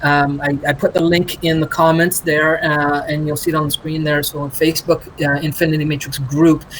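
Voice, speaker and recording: A man talks at a moderate pace, his pitch fairly high. Noticeable background noise runs underneath. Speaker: livestream host. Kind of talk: live stream chat.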